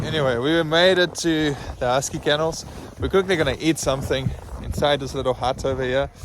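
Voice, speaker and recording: Noticeable background noise sits behind a man with a South African accent. He talks fairly quickly, at a fairly high pitch, with fairly even intonation. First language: Afrikaans. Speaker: travel vlogger. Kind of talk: travel vlog narration. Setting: outdoors.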